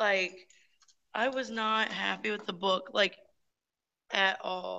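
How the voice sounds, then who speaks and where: Speaking at a very slow pace, a woman has a medium pitch and fairly even intonation. Her bright, sharp tone carries vocal fry. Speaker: book club podcast host. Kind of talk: casual chat. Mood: exasperated, opinionated. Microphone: speaking through phone; video call.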